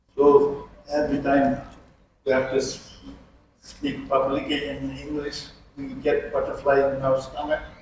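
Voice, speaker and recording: Fairly slow delivery with long, frequent pauses and audible echo from the room. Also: man. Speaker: architect. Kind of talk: lecture. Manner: halting.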